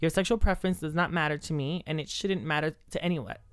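Music plays in the background as a woman speaks. Her voice is fairly low-pitched with ordinary pitch variation. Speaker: podcast host. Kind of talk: casual chat.

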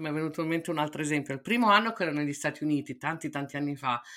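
On a very clean recording with a silent background, a woman speaks with a bright, sharp tone at a very deep, low pitch. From Italy (Milan). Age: middle-aged. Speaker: podcast co-host. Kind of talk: casual chat.

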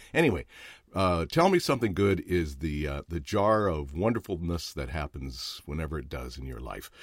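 A man with a very deep, low pitch, vocal fry, an animated tone and lively intonation, at a fairly quick pace, in a dry, close sound with no echo on a very clean recording with a silent background. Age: 60s. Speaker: podcast host, actor and voiceover. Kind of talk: casual chat. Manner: animated, jokey.

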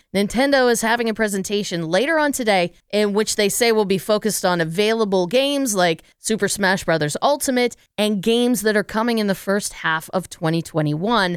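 A woman with an American accent at medium pitch, fairly quick with hardly any pauses and ordinary pitch variation, on a very clean recording with a silent background. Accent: slight Pittsburgh, mostly not. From Pittsburgh, Pennsylvania. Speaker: podcast host. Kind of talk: casual chat.

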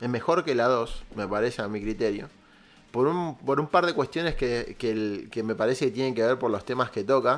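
The recording is very clean with a silent background. A man speaks at medium pitch and a moderate pace, with ordinary pitch variation. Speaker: podcast host. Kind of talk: casual chat. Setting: live stream. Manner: animated.

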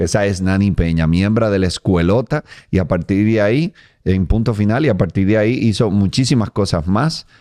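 Against a quiet background, a man with a Dominican accent speaks at a fairly low pitch in a dark, mellow tone, with lively intonation, very even loudness and a dry, close sound with no echo. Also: moderate pace. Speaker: comedian and podcast host. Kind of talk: casual interview chat.

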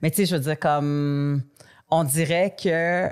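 In a very clean recording with a silent background, a woman speaks very slowly at a very deep, low pitch. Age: 40s. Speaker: podcast host. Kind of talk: casual chat.

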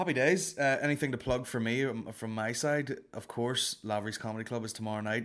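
A man talks at a fairly quick pace with hardly any pauses, at a medium pitch with ordinary variation. The recording is very clean, with a silent background. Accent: Northern Irish. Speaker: comedy podcast host. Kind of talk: casual comedic monologue. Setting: home recording straight into editing software. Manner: animated.

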